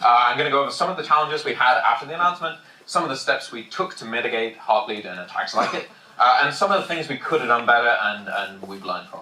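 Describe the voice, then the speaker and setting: Loud and very fast, a man at medium pitch speaks with audible room echo around him. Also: lively intonation. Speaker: security engineer giving conference talk. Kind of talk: technical conference talk. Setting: packed conference room with audience. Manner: fast, hurried.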